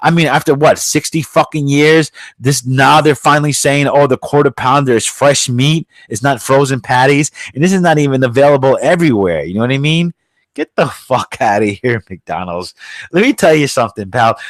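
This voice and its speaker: A man with a New York accent, fairly high-pitched, ordinary pitch variation, and a dry, close sound with no echo. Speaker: podcast host. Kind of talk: casual chat. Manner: fast; loud.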